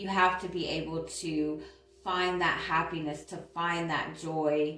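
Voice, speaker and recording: Delivered at a very slow pace with fairly even intonation, the speech carries audible room echo and noticeable background noise. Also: woman, fairly low pitch for a woman. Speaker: tarot reader. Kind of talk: tarot reading. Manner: hesitant fillers.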